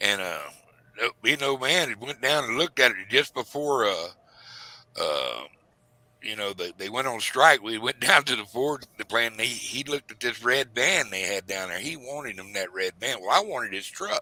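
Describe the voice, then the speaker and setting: Recorded dry and close with no echo, a man's bright, sharp voice sits at a medium pitch and shows big swings in loudness. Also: lively intonation, moderate pace. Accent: Southern US. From US South. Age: 60s. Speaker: retired commercial fisherman and livestreamer. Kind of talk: casual chat. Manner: halting.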